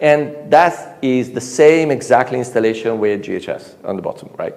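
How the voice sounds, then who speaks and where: There is noticeable background noise as a man speaks with an Italian accent. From Italy. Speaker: conference speaker, software engineer. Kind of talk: conference talk. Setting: stage with audience. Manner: animated.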